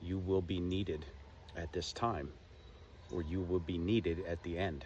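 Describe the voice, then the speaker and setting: Speaking at a fairly slow pace, a man with a very deep, low voice sounds somewhat breathy. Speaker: spiritual vlogger. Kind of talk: casual monologue.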